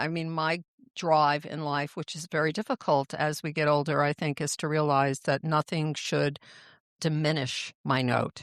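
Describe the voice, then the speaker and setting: Very deep and low in pitch, a woman speaks at a moderate pace in a monotone, flat voice, recorded very cleanly against a silent background with a dry, close sound and no echo. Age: 60s. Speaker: podcast host, medical intuitive. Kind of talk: casual chat.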